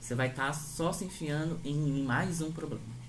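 A somewhat breathy man speaks at a fairly slow pace. Audible room echo surrounds his voice. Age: 20s. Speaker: podcast host. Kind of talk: casual chat.

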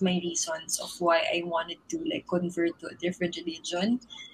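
A woman's voice over noticeable background noise. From Philippines. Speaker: digital marketer. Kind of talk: casual chat.

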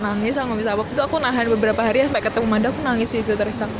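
Speech comes very fast with fairly even intonation, with audible room echo and crowd noise in the background. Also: woman. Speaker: podcast guest. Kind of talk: casual chat. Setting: library lobby.

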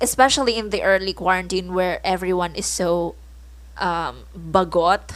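Against a very clean recording with a silent background, a woman with a Filipino accent speaks at a fairly slow pace. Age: 20s. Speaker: podcast host, college student. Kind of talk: casual solo podcast talk, code-switching English and Tagalog.

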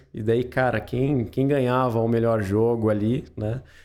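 A man speaks in a medium pitch. His pace is fairly slow. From Pinhal, São Paulo state, Brazil. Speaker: podcast founder and host, interviewed about his career. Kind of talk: casual interview chat.

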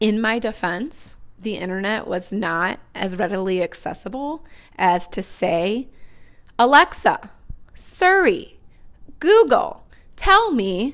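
A woman with a fairly high pitch speaks at a very slow pace, with very wide pitch swings. She takes long, frequent pauses. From US Midwest, Northwest Indiana. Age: 30s. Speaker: teacher, podcast host. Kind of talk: casual personal monologue.

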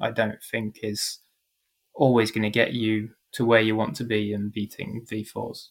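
The recording is very clean, with a silent background. A man speaks at a moderate pace and medium pitch in a monotone, flat intonation. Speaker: motorsport commentator. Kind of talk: casual interview chat.

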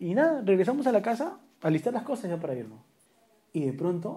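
The speaker keeps a moderate pace. The pitch swings very widely. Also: man. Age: 30s. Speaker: podcast co-host. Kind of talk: casual chat.

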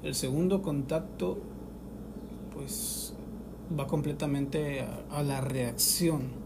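At a very slow pace, a man speaks with ordinary pitch variation and audible room echo. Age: 20s. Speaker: podcaster, unemployed graduate. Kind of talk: personal monologue.

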